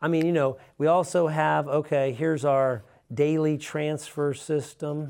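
In a normal speaking voice, a man speaks at a fairly slow pace and fairly high pitch, with fairly even intonation and very even loudness against a quiet background. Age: 50s. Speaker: business coach. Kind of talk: solo monologue. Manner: casual.

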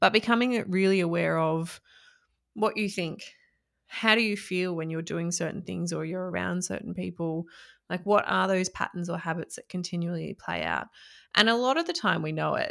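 In a very clean recording with a silent background, a woman speaks in an Australian accent. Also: moderate pace. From Australia, country Victoria (Echuca). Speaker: mindset coach. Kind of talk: interview.

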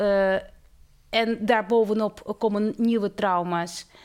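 In a very clean recording with a silent background, a woman with a slight Russian accent speaks at a very slow pace with fairly even intonation. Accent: slight Russian accent in Dutch. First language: Russian (speaking Dutch). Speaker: theology professor. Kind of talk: interview. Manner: halting.

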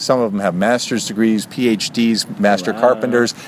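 A man at medium pitch and moderate pace, with noticeable background noise. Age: 40s. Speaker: podcast host. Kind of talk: casual chat.

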